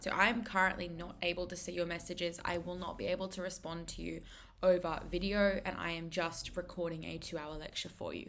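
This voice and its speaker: Fairly low-pitched female voice with an Australian accent, fairly quick pace, hardly any pauses, big swings in loudness and audible room echo. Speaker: maths tutor presenter. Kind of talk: lecture. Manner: fast.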